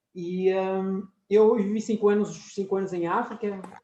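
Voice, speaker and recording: The pace is fairly slow. A man is the one speaking. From France and Portugal. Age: 40s. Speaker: professor. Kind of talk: lecture.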